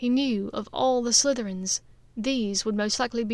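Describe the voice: The pitch moves with ordinary variation. It is plain reading aloud.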